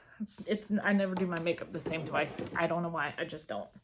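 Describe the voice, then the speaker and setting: A woman with an American accent speaks at a medium pitch with ordinary pitch variation over noticeable background noise. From Georgia, US. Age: 30s. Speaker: beauty vlogger. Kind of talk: casual talk to camera.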